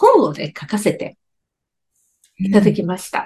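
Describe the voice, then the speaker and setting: This voice is somewhat breathy. It belongs to a woman. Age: 60s. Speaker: beauty expert and company founder. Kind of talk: interview talk. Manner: animated.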